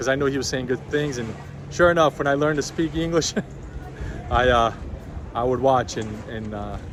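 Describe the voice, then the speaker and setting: Against noticeable background noise, a man talks at a moderate pace with ordinary pitch variation. He leaves long, frequent pauses. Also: medium pitch for a man. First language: not English. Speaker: YouTuber, baseball card collector. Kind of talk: casual vlog talk. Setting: outdoors.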